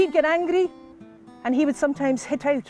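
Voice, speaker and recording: Over music in the background, a man with a Scottish accent speaks at an extremely high pitch with ordinary pitch variation, the sound dry and close with no echo. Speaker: storyteller. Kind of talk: live storytelling performance. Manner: lively, humorous.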